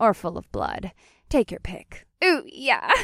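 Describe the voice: In a very clean recording with a silent background, a woman slowly performs a put-on character voice at medium pitch, with a fairly bright tone, vocal fry and very wide pitch swings.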